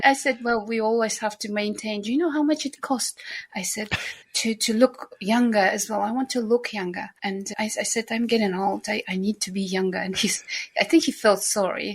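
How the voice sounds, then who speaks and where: In a Central Asian accent, a woman speaks at a moderate pace in a fairly high pitch with ordinary pitch variation. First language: not English (third language). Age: 50s. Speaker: nanny. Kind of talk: interview conversation. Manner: animated.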